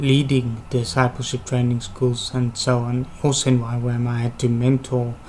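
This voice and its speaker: At a moderate pace and medium pitch, a man speaks in a somewhat breathy, monotone, flat way with hardly any pauses. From South Africa, Western Cape (Worcester). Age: 20s. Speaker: university applicant. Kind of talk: interview presentation.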